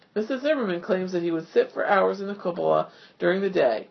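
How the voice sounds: A natural reading voice is heard throughout.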